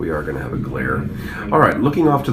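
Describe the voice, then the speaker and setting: A man is speaking with noticeable background noise behind him. Room echo is audible too. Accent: American. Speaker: school sports coach and livestream commentator. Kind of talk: sports livestream commentary. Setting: press box at a football stadium. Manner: mellow.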